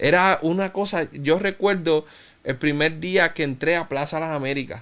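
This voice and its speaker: A man's fairly high voice at a moderate pace with fairly even intonation. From Cuba, raised in Puerto Rico from about age 10. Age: 30s. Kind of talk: interview, personal testimony.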